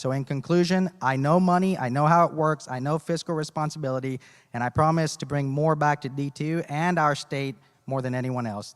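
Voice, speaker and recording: With a normal speaking voice at a fairly high pitch, the man speaks at a fairly quick pace with ordinary pitch variation, and the sound is dry and close with no echo. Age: 30s. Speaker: businessman, congressional candidate. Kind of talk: candidate forum speech. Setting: public forum with audience.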